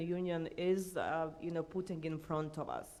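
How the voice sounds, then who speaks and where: In a Croatian accent, a woman speaks at a moderate pace with a dark, mellow tone and monotone, flat intonation, with audible room echo around her. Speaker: EU affairs consultant, panelist. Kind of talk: conference panel talk. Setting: conference stage with audience. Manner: loud.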